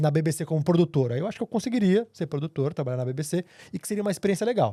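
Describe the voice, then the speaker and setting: A man talks at a very fast pace with lively intonation and a fairly high pitch. His tone is dark and mellow, the sound dry and close with no echo on a very clean, silent recording. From Brazil, São Paulo. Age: 30s. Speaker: TV journalist. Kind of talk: podcast interview.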